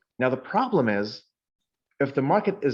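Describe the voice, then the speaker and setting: The background is quiet around this man. He has a Texan accent and a fairly high voice. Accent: Texan drawl. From Texas. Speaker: market forecaster. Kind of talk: interview answer.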